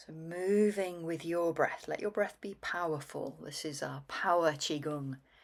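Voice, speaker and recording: A woman with an unremarkable speaking voice, fairly low in pitch, fairly slow and fairly even, with hardly any pauses, on a very clean recording with a silent background. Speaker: qigong instructor. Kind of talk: guided movement practice. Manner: calm, paced with breath.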